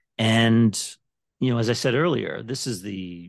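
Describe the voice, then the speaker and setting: An unremarkable speaking voice belongs to a man who talks at a fairly slow pace with fairly even intonation in a quiet background. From Canada. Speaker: divorce financial planner. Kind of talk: podcast interview.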